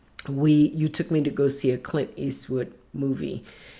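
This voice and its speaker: A woman speaks with a very deep, low pitch and vocal fry. Her intonation is fairly even and her pace fairly slow. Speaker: podcast co-host, wife. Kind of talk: casual chat.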